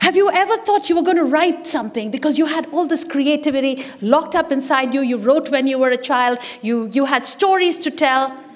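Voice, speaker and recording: Against noticeable background noise, a woman with a high voice talks at a fairly quick pace in an animated tone, with ordinary pitch variation and hardly any pauses. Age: 60s. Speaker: business leader and musician giving a speech. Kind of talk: speech at an event.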